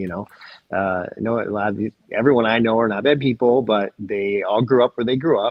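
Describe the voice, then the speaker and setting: At a fairly quick pace, a man with an American accent uses an ordinary speaking voice at a medium pitch with fairly even intonation. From Michigan, US. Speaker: physician. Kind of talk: interview.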